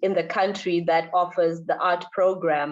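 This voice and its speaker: In a Zimbabwean accent, a woman speaks with a fairly low pitch and monotone, flat intonation. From Zimbabwe, Harare. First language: Shona. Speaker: visual artist. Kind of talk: interview in a lecture event. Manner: halting, repeats words.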